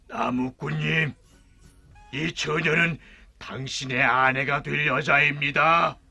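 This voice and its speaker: Raspy and put-on, a man's character voice comes through. He speaks at a fairly slow pace. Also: fairly high pitch for a man. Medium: read story. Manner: polite, gentle.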